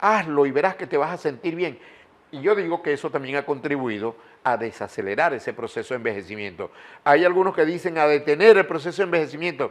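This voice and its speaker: Lively intonation marks this man's fairly high-pitched voice as he speaks at a very fast pace. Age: 80s+. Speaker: journalist and broadcaster. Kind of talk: interview.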